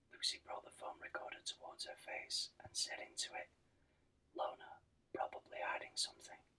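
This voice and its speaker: A man whispering in a gentle tone at a moderate pace. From Britain. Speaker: ASMR channel host. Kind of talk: sleep-inducing book reading. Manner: whispered, gentle.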